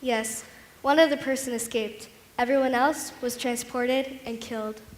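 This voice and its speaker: A woman's high-pitched voice at a moderate pace, with fairly even intonation and audible room echo. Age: 80s. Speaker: Holocaust survivor. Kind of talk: staged testimony performance.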